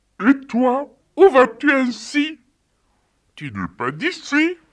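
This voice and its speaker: A put-on character voice speaks at a high pitch and a very slow pace. The recording is very clean, with a silent background. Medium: audio drama. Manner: warm, kindly.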